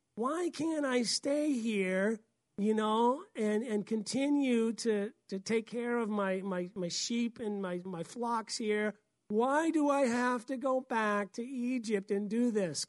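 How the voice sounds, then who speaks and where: A woman does a whiny put-on character voice at a fairly high pitch and a very slow pace. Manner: whining, reluctant.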